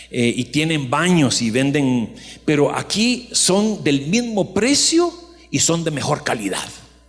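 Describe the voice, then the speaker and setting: Audible room echo surrounds a man who talks at a very slow pace, his fairly high pitch moving in very wide swings. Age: 60s. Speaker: pastor. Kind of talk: sermon.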